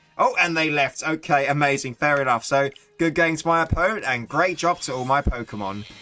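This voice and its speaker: An English accent at a fairly quick pace over noticeable background noise. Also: man, fairly high pitch for a man, ordinary pitch variation. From England. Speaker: gaming streamer. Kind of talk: live gameplay commentary. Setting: live stream.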